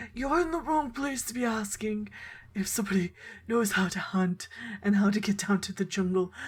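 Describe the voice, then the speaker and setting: Someone performs a put-on character voice at a moderate pace with lively intonation. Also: woman, medium pitch for a woman. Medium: actual play. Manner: genteel, chatty.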